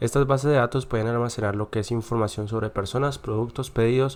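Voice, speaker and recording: With fairly even intonation, a man's voice holds a medium pitch. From Colombia, Cauca. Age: 20s. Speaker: university student. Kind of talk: class presentation. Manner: hesitant, with filler sounds.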